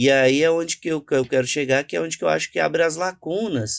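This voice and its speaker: A man's voice with ordinary pitch variation comes through in a very clean recording with a silent background and a dry, close sound with no echo. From Brazil, Minas Gerais (Contagem). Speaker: journalist and cultural entrepreneur. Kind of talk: podcast interview.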